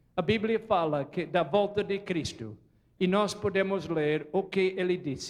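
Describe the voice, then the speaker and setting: An animated voice with a non-native accent, fairly slow, with ordinary pitch variation. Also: man. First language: not Portuguese (speaking Portuguese). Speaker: preacher. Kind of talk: sermon. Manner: animated, questioning audience.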